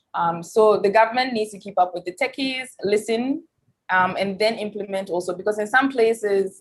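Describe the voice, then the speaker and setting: At a moderate pace and medium pitch, a woman speaks with a strong Ghanaian accent and ordinary pitch variation. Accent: thick Ghanaian. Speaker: tech expert and academic. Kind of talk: panel discussion. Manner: many fillers and repetitions.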